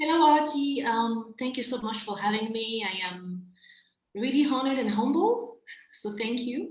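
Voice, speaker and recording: A woman's high voice with ordinary pitch variation at a moderate pace, in audible room echo. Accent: slight French. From Central African Republic. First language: French. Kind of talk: interview conversation. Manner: hesitant, many fillers.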